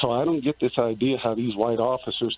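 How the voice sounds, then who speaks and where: A man at a medium pitch talks at a fairly quick pace with fairly even intonation over noticeable background noise. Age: 50s. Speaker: caller. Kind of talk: phone-in comment. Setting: phone call. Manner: halting, many fillers.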